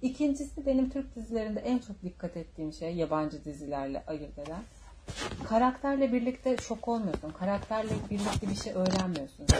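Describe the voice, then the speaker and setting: Animated and medium in pitch, a woman's voice swings very widely at a moderate pace. Noticeable background noise runs underneath. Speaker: podcast host. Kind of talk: casual chat.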